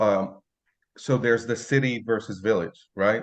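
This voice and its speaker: Against a quiet background, someone with an Arabic accent speaks at a moderate pace with ordinary pitch variation. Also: man. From Lebanon. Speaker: photographer and language content creator. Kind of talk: interview conversation. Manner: casual.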